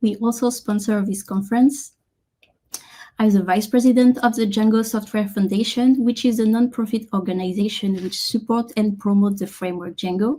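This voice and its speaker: A woman speaks with a French accent at a fairly high pitch and a moderate pace. Her tone is dark and mellow, somewhat breathy, with ordinary pitch variation. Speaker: software engineer and conference keynote speaker. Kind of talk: conference keynote talk.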